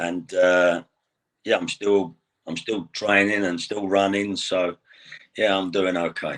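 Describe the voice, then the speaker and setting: In an English accent, a man with a very deep, low pitch speaks at a very slow pace in a monotone, flat delivery, leaving long, frequent pauses against a quiet background. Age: 60s. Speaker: retired pro wrestler. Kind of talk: interview.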